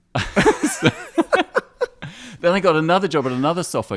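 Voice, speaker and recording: A man with an English accent. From England (London) and Morocco (Casablanca). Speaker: artist and photographer. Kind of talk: casual interview.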